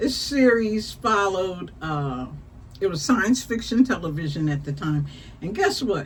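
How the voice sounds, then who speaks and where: Somewhat breathy, the speech moves at a fairly slow pace with very wide pitch swings and audible room echo. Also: woman, medium pitch for a woman. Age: 60s. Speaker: talk show host. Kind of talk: casual chat. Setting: live stream.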